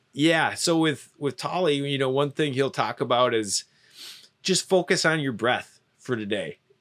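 Using a plain, everyday voice, a man talks at a fairly slow pace with ordinary pitch variation. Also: fairly high pitch for a man. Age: 30s. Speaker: marketer and filmmaker. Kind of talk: casual interview. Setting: in a van.

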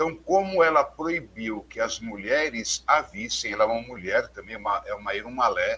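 Speaking at a moderate pace, the man's volume swings widely from loud to soft. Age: 50s. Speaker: religious leader and researcher. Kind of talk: interview, explanatory lecture.

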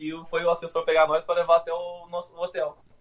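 His fairly high voice stays monotone, with flat intonation. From Brazil, interior of São Paulo state. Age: 30s. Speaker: forklift operator turned immigrant. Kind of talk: casual interview. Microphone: phone mic, speaking quietly.

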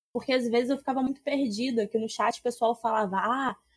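Speaking at a fairly quick pace, a woman with a high pitch keeps her intonation fairly even, and the sound is dry and close with no echo. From Rio de Janeiro state interior. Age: 20s. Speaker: Magic streamer and historian. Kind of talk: casual chat.

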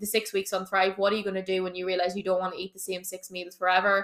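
An animated woman's voice at medium pitch, bright and sharp in tone, with an Irish accent. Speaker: fitness coach. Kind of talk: Q&A episode. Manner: fast.

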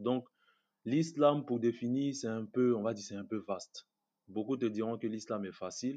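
A man talks in an ordinary speaking voice at medium pitch, with ordinary pitch variation. His pace is moderate and the background is quiet. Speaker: student and online commentator. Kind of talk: casual interview.

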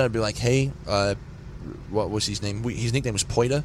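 Speaking with an Australian accent, a man uses a medium pitch with ordinary pitch variation. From Australia, rural New South Wales. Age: 20s. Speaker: singer in a punk band. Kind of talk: casual interview. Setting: tour bus at a festival.

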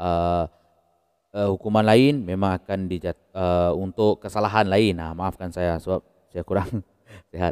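Very deep and low, a man's voice moves at a fairly slow pace with fairly even intonation, recorded very clean with a silent background and a dry, close sound with no echo. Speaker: crime and horror storyteller. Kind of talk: storytelling narration. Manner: casual with many hesitations.

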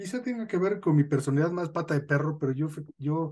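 Somewhat breathy, a male voice rises and falls with lively intonation. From northern Mexico. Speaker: podcast host, sociologist. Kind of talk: casual chat.

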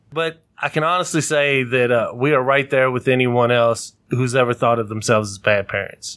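A man speaks at a moderate pace with hardly any pauses. His medium pitch shows ordinary variation, on a very clean recording with a silent background. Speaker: podcast host, father of four. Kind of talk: casual chat. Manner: loud.

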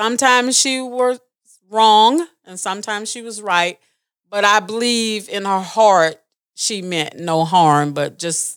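Speaking very slowly in a Southern US accent, a woman uses a fairly high pitch with ordinary variation. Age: 60s. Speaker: family member. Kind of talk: storytelling.

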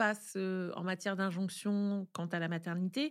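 A woman speaks in an animated tone at a fairly slow pace, on a very clean recording with a silent background. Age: 50s. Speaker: author and podcaster. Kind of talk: interview conversation. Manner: animated, many hesitations.

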